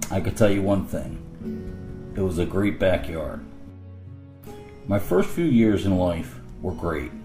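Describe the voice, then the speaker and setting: A man with a Philadelphia accent, very deep and low-pitched, very slow with long, frequent pauses and lively intonation, music playing in the background. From Philadelphia, Pennsylvania. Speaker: adult learner. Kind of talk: personal digital story narration.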